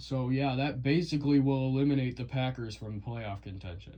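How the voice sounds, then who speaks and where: Dark and mellow in tone, a man talks at a moderate pace with ordinary pitch variation. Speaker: sports YouTuber. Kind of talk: casual sports predictions monologue.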